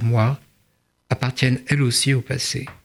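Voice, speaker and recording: Over a silent background in a very clean recording, a man speaks at a fairly slow pace with fairly even intonation. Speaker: writer and translator. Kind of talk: interview; reading aloud. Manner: halting.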